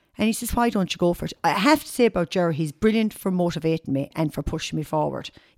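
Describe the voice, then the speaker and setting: In an Irish accent, a woman talks at a very fast pace in a fairly low voice, with hardly any pauses, lively intonation and big swings in loudness. The recording is very clean with a silent background and a dry, close sound with no echo. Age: 50s. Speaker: model agency owner and fashion stylist. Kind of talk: casual interview. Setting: at her home.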